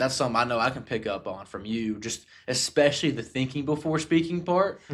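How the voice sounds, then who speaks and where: A man speaks with a Southern US accent and ordinary pitch variation. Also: medium pitch for a man. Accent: southern drawl. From US South. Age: 20s. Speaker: podcast host. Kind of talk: casual chat. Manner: animated.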